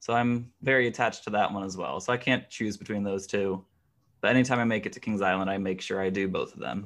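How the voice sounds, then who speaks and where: A man with an American accent talks at a very fast pace in a fairly low pitch, with ordinary pitch variation against a quiet background. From US Midwest, Cincinnati, Ohio. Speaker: theme park history enthusiast. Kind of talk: casual interview.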